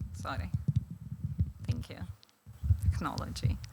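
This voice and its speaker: On a very clean recording with a silent background, a woman speaks in a Lithuanian accent with a bright, sharp tone. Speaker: law professor. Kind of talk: conference talk. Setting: stage with audience. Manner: halting, many fillers.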